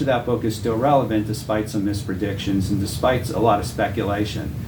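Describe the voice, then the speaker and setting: A man with an American accent talks at a fairly quick pace and medium pitch, with hardly any pauses. Audible room echo and noticeable background noise are present. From Massachusetts, Boston area. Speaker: Bible teacher. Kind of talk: testimony.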